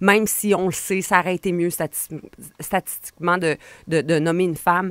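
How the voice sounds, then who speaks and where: A woman with a Quebec accent speaks at a fairly low pitch and moderate pace. The sound is dry with no echo, over a quiet background. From Quebec, Portneuf region (Donnacona). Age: 40s. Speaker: political commentator. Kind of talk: radio interview. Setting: radio studio. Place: studio. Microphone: studio mic.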